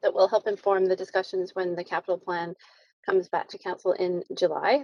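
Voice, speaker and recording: Doing a put-on character voice, a woman sounds raspy at a medium pitch, fairly quick and fairly even in intonation, with big swings in loudness. The sound is dry and close, with no echo. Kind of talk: formal council meeting.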